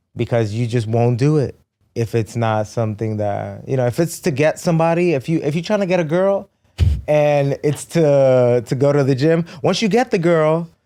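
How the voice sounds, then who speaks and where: Music plays in the background as a man with a fairly high pitch talks at a moderate pace, with lively intonation and very even loudness. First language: Spanish. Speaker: fitness trainer and race competitor. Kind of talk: podcast interview. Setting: studio.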